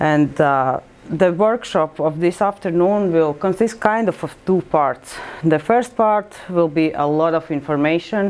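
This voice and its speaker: A woman speaks at a fairly slow pace. Her pitch is fairly low, with ordinary pitch variation. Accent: Latvian. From Latvia. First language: Latvian. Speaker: librarian. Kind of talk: presentation. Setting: workshop with audience. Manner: halting.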